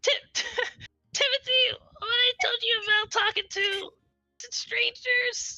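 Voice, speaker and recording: In a put-on character voice, a woman speaks extremely high and squeaky at a fairly slow pace, with fairly even intonation and a dry, close sound with no echo. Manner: scolding.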